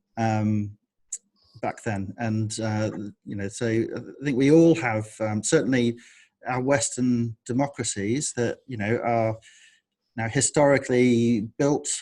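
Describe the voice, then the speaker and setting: In a very clean recording with a silent background, a man of medium pitch and dark, mellow tone speaks at a very slow pace with fairly even intonation. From Australia. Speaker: publisher. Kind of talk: interview.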